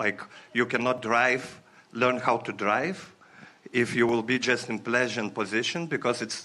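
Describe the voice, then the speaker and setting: At a moderate pace, a man speaks with a bright, sharp tone and a medium pitch. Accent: non-native. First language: not English. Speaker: audience member. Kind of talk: workshop Q&A. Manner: halting.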